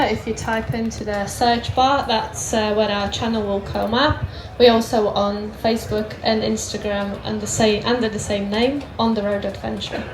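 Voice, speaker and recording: A woman speaks in a fairly high voice. Audible room echo and noticeable background noise fill the recording. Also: hardly any pauses. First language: Polish. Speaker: motorcycle travel vlogger. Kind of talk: stage talk. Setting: stage with audience.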